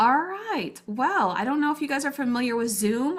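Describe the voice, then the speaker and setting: A woman speaks with an Arkansas accent. Her pace is moderate. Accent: Southern US, Arkansas. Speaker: grief coach. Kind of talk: online workshop. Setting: video call. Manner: casual, filler-heavy.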